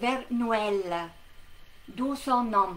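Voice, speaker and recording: Very slowly, a woman talks. The rise and fall of her pitch is ordinary. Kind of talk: educational lesson to camera. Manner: hesitant, many fillers.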